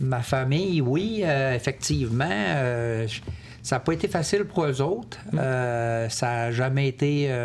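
Over noticeable background noise, a man talks very slowly at a medium pitch, his intonation lively and his loudness very even. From Quebec City. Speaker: military veteran. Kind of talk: testimony. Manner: halting.

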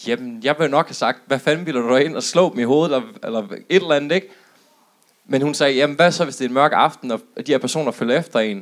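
A man's fairly high-pitched voice at a very fast pace, with ordinary pitch variation. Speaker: audience member. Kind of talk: anecdote told to audience. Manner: halting.

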